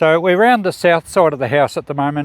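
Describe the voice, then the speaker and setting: A man talks with an Australian accent. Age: 60s. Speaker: YouTuber. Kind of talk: casual vlog narration. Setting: outdoors.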